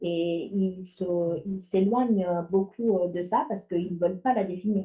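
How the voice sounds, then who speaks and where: Speaking with a slight non-native accent, the woman keeps a medium pitch, fairly even intonation and a fairly slow pace. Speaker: AI ethics researcher. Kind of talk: panel discussion. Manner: hesitant, many fillers and restarts.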